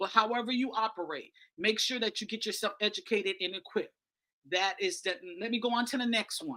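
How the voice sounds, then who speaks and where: Bright and sharp in tone, a woman talks fairly quickly at a fairly high pitch with ordinary pitch variation. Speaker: media host and speaker. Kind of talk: conference presentation. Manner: fast.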